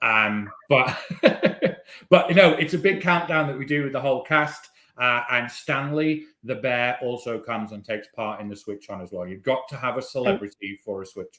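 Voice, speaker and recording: A man with a bright, sharp tone speaks at a moderate pace with lively intonation and big swings in loudness. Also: medium pitch for a man. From Britain. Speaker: cruise line entertainment manager. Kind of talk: webinar conversation. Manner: casual, hesitant with fillers.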